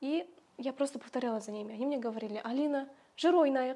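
Her voice is high for a woman, with ordinary pitch variation. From Kazakhstan, rural village. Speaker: Kazakh language teacher and social media creator; Kazakh language teacher, social media creator. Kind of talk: interview. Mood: warm, reminiscing. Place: home room. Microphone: lapel.

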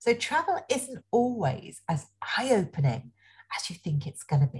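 An enthusiastic, somewhat breathy woman's voice at a fairly slow pace, with very wide pitch swings over a quiet background. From England, Nottingham. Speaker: education speaker, former social worker. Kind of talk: webinar presentation. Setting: online webinar. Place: home room. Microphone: webcam.

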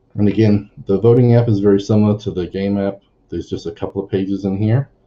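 A man talks at a fairly quick pace with a fairly low pitch. His voice is somewhat breathy. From New Zealand. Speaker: software consultant; presenter. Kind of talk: conference tech talk. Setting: video call, standing. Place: home room.

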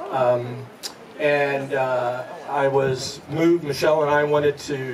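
There is noticeable background noise as a man with an American accent speaks in a fairly high pitch. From Oregon, Eugene; Oregon. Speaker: businessman and host; host. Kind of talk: speech. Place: garden.

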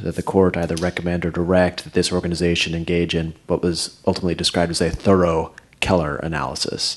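Monotone, flat intonation comes at a fairly quick pace with hardly any pauses. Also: man. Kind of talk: meeting report. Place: meeting room. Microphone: podium.

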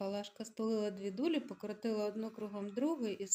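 Text is read aloud in a natural voice. The pitch varies an ordinary amount.

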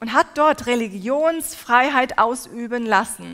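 A woman's high-pitched voice at a very slow pace. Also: quiet background. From Turkey. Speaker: preacher. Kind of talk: sermon. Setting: stage with audience. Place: hall. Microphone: headset.

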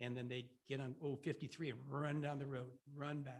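A man talks at a fairly quick pace with fairly even intonation. His medium-pitched voice is somewhat breathy. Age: 70s. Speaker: resident giving public comment. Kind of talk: public comment at a meeting. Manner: halting.

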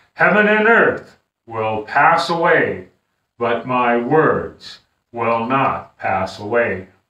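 Very slow speech with audible room echo against a quiet background. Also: man. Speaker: pastor. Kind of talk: scripture reading in sermon. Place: home room. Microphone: camera far.

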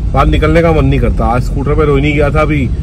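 The speech moves at a fairly quick pace with a dry sound and no echo, against noticeable background noise. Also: man. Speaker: vlogger. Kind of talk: casual vlog chat. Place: car. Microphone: phone near.

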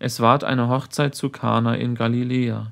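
In a very clean recording with a silent background, a man with a plain, everyday voice speaks fairly slowly at a medium pitch. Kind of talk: sermon read aloud. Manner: formal, solemn.

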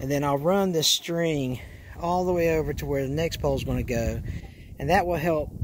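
Light background noise sits under a dry sound with no echo. The voice shows ordinary pitch variation. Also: man. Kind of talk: tutorial. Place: farm machine. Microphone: phone near.

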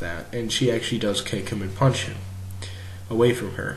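A man's voice comes through with clearly audible noise in the background. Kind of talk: casual commentary video analysis. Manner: casual, hesitant.

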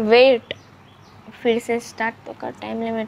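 Clearly audible background noise behind a female voice. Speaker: YouTuber, sister in a sibling challenge. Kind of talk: casual talk to camera. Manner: upbeat, chatty.

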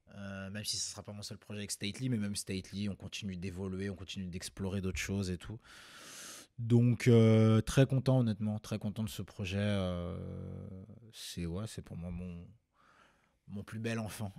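Speaking at a moderate pace with long, frequent pauses, a man uses a fairly low pitch and fairly even intonation. His loudness swings widely, and the background is quiet. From Rennes, Brittany, France; Brittany, France. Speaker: rapper and singer; interviewee. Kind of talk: interview. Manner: casual. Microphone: studio mic.

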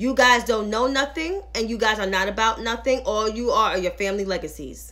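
Over a quiet background, a woman speaks at a moderate pace with a bright, sharp, animated tone, fairly high pitch and vocal fry. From New York. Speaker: political commentator. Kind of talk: angry rant, scathing political commentary. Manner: animated, indignant, sarcastic; direct, emphatic. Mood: sarcastic, indignant. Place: home room. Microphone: phone near.

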